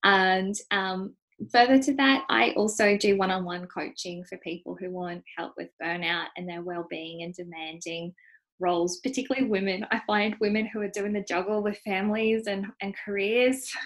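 A woman with a normal speaking voice, medium pitch, ordinary pitch variation, moderate pace and big swings in loudness. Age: 30s. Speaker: nutritionist and coach. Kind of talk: interview.

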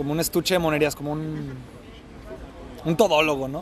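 Noticeable background noise sits behind a fairly high-pitched man. He speaks fairly slowly in a flat monotone. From Mexico, Guadalajara. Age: 30s. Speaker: immigrant sharing life story. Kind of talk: casual interview. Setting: beachfront café.

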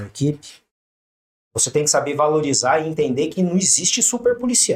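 In a plain, everyday voice, a fairly high-pitched man talks at a moderate pace with lively intonation. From Brazil, São José dos Campos (São Paulo state). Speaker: police officer. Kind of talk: casual interview.

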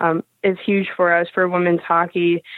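Here is a woman with an American accent, pitched at a medium level. Her intonation is monotone and flat. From US Midwest, Michigan. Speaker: hockey player. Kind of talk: interview.

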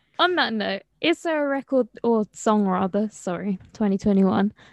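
A woman with an unremarkable speaking voice talks at a medium pitch with ordinary pitch variation, in a dry, close sound with no echo and a quiet background. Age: young. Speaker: student podcast host. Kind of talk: casual interview.

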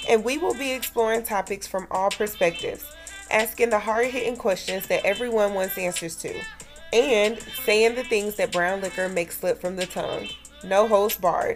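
With music playing in the background, a woman talks at a fairly high pitch. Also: ordinary pitch variation, moderate pace. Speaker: podcast host. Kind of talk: more formal, standard-sounding speech than her co-host. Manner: even, composed delivery; keeps her usual way of speaking.

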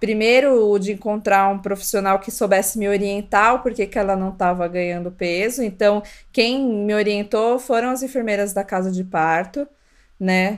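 A woman speaks in an ordinary speaking voice at a moderate pace. Her pitch sits in the middle range, and her intonation stays fairly even. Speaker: podcast co-host, mother. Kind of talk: casual chat.

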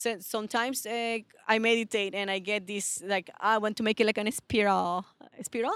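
In a Latin American accent, a woman talks at a moderate pace with a fairly high pitch and fairly even intonation. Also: dry, close sound with no echo. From Venezuela. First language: Spanish. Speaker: posture specialist and personal trainer. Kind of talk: interview.

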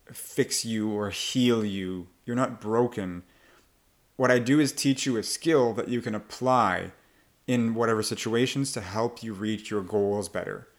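A man's plain, everyday voice at medium pitch, fairly slow, with ordinary pitch variation, on a very clean recording with a silent background. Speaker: accent coach. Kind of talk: casual interview.

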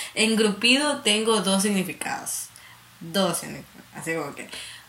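Noticeable background noise sits behind a woman's speech. The room adds audible echo. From coastal Ecuador, Santa Elena. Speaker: podcast co-host. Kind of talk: casual chat.

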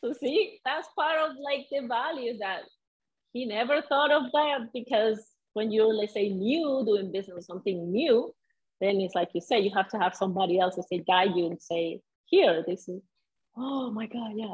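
In a Venezuelan accent, a woman speaks at a moderate pace with a fairly high pitch. Her intonation is lively. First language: Spanish. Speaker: salsa dancer and mindset coach. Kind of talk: casual interview chat.

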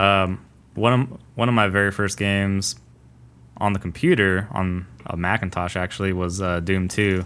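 A man with an American accent has an unremarkable speaking voice, fairly low in pitch. He talks at a moderate pace with fairly even intonation. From Los Angeles, California. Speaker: podcast co-host. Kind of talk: casual chat. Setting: remote recording.

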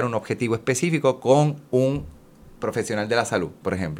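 An unremarkable speaking voice moves at a fairly quick pace. The intonation is lively. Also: man. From Puerto Rico. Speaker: children's musician. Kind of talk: casual chat.

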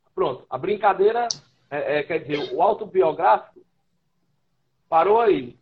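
A man speaks at a fairly slow pace in a high voice, his intonation lively and broken by long, frequent pauses. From Brazil, Ceará (Fortaleza). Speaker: writer, musician and radio host. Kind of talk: casual interview. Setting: live stream on social media.

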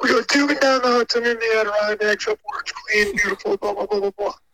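In a dry, close sound with no echo, a raised, projected voice with a bright, sharp tone moves at a fairly quick pace. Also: man. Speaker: caller.

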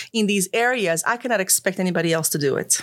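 A woman with a Croatian accent speaks at a medium pitch in a very clean recording with a silent background. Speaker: financial services professional. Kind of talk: interview. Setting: studio.

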